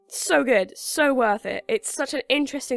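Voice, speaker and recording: The speaker uses lively intonation and an English accent, with a dry, close sound and no echo. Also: woman. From England. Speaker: gaming YouTuber. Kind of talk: casual video roundup. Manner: casual, filler-heavy.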